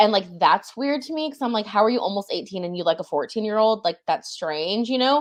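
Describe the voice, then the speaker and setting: With an American accent and a normal speaking voice, a woman talks at a fairly quick pace in a fairly high pitch, her intonation lively and her speech hardly pausing. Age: 20s. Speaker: book content creator. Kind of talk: casual chat.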